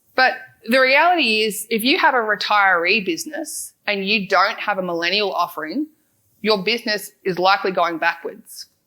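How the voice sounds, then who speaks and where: A woman with an Australian accent speaks at medium pitch, her tone bright and sharp and her intonation lively. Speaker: financial adviser and podcast founder. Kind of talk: conference talk. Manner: fast.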